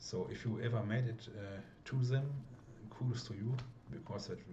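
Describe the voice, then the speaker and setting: Noticeable background noise and audible room echo surround a man talking with a German accent. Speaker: mod creator and gameplay video maker. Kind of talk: casual gameplay commentary. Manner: halting, many fillers.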